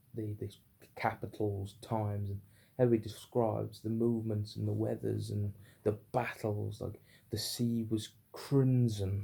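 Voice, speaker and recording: Somewhat breathy and dark, mellow in tone, the voice moves at a fairly slow pace in a flat monotone with a British accent. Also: man, fairly low pitch for a man. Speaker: book reviewer. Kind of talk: unscripted book review. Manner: stuttery, halting; unrehearsed, filler-heavy.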